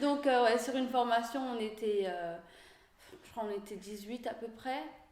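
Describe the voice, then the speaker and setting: In a room with audible echo, a woman with a fairly high pitch speaks at a fairly slow pace, her pitch variation ordinary. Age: 30s. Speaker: bus driver. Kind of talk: interview. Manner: hesitant, many fillers.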